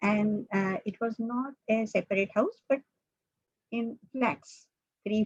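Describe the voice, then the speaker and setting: The woman's somewhat breathy voice shows ordinary pitch variation. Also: dry, close sound with no echo. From India, Mumbai. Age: 70s. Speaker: mathematician. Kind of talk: invited talk. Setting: video call. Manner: halting.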